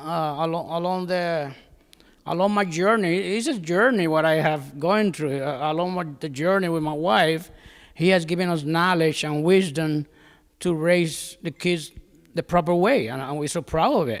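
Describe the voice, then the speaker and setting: At a fairly slow pace and high pitch, a man speaks in a very clean recording with a silent background. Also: ordinary pitch variation. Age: 70s. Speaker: church member giving a father's testimony. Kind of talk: testimony. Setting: church service. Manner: halting, with repetitions and fillers.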